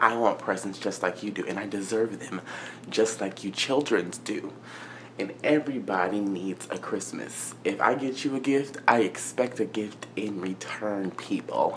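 At a fairly slow pace, a man speaks at a fairly low pitch with ordinary pitch variation and light background noise. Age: 20s. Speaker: vlogger. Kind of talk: casual vlog rant. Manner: animated; sassy, exasperated. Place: home room. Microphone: phone near.

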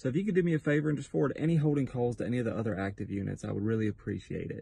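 A man speaks at a very fast pace with lively intonation, a dark, mellow and somewhat breathy tone, and a dry sound with no echo. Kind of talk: comedy sketch dialogue. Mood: playful, joking. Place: car. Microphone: phone near.

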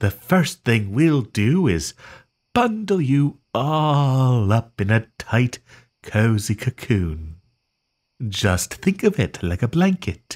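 On a very clean recording with a silent background, a man puts on a character voice. He talks at medium pitch and a very slow pace. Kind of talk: soothing sleep-aid roleplay. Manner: gentle, reassuring, softly possessive.

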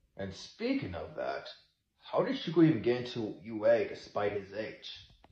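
A man talks fairly slowly. The room gives off an audible echo. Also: big swings in loudness. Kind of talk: character roleplay skit dialogue. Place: home room. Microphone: phone near.

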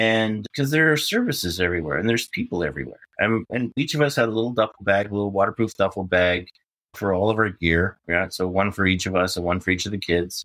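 With a Western Canadian accent and a fairly low pitch, a man talks at a very fast pace with hardly any pauses, on a very clean recording with a silent background. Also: ordinary pitch variation. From Prince George, British Columbia. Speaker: overland event organizer and traveler. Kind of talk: casual interview chat.

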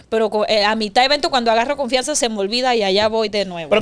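A woman speaks with a fairly high pitch and ordinary pitch variation. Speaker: podcast guest. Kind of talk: interview answer. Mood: playful, self-mocking. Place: studio. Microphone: studio mic.

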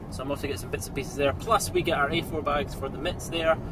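A man speaks very fast with ordinary pitch variation. Loud background noise runs under his voice. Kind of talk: casual vlog chat. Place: car. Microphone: phone near.

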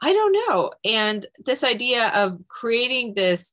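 The voice belongs to a woman. Behind her it is quiet. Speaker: creative director of an art-science society; panelist. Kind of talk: panel discussion. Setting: video call. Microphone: video call.

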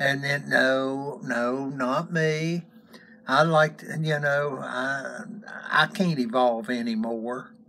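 Light background noise sits behind a man. He talks at a very slow pace. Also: ordinary pitch variation. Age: 70s. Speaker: YouTube co-host, grandfather figure. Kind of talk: casual chat. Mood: relaxed, chatty. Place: home room. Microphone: phone near.

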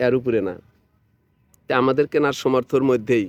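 A man with an unremarkable speaking voice talks at a medium pitch with fairly even intonation. The sound is dry and close, with no echo. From Bangladesh, Sirajganj district. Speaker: YouTube vlogger. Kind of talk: on-location video tour and interview.

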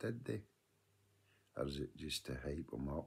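A man's very deep, low voice with a west of Scotland accent. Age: 50s. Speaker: vlogger. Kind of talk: video diary monologue. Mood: earnest, advising. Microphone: phone near.

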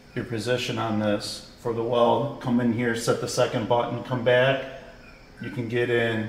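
A man speaks in a monotone, flat intonation at a moderate pace. There is audible room echo. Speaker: product demonstrator. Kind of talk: tutorial. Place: workshop.

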